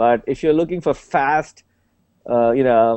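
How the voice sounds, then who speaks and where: A man's voice sits at a fairly high pitch, with ordinary pitch variation. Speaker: panelist on tech show. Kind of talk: panel discussion.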